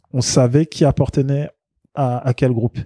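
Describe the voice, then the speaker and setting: The sound is dry and close, with no echo. A man of medium pitch speaks in a dark, mellow tone. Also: very clean recording, silent background. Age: 40s. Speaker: journalist and marketing consultant. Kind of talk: casual chat.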